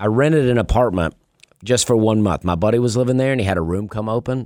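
On a very clean recording with a silent background, a man with an Alabama accent speaks in a fairly low pitch with lively intonation. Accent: Southern US (Alabama). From US South, Opelika, Alabama. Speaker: stand-up comedian. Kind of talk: casual chat; stand-up. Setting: radio studio.

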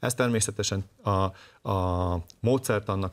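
An ordinary speaking voice moves at a fairly slow pace with fairly even intonation on a very clean recording with a silent background. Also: man. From southern Slovakia, Hungarian minority. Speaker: ethnic minority party leader. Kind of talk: political interview.

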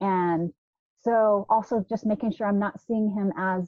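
A woman with a normal speaking voice in an American accent, medium pitch, ordinary pitch variation and a moderate pace. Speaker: biblical counselor. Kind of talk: panel discussion.

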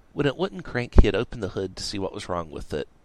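What you hear is a natural reading voice.

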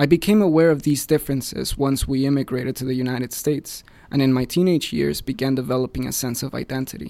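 With a Spanish accent, a man at medium pitch talks at a very fast pace with hardly any pauses, ordinary pitch variation and a dark, mellow tone. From Mexico City, Mexico. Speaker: student newspaper editor. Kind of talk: scripted narration. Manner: formal.

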